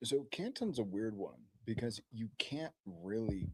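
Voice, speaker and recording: Quiet and with lively intonation, a man speaks at a fairly slow pace in a dry, close sound with no echo. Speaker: crypto show co-host. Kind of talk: casual chat.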